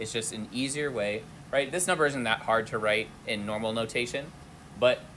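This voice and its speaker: Audible room echo surrounds a man speaking at a medium pitch. He moves at a fairly quick pace with ordinary pitch variation. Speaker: chemistry instructor. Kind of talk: lecture. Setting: lab classroom with students. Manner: loud, straining to project. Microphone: no microphone, hard to hear at back.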